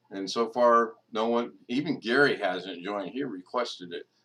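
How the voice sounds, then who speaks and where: A man speaks at a fairly slow pace. His pitch is medium, with ordinary variation. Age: 60s. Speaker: livestream host. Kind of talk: casual chat. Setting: video call. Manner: loud.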